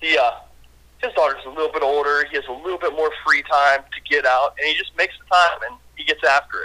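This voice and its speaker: This man's bright, sharp tone and fairly high pitch come through at a very fast pace, with ordinary pitch variation and an American accent. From Western Pennsylvania. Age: 30s. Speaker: angler and fishing podcast co-host. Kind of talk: casual storytelling chat.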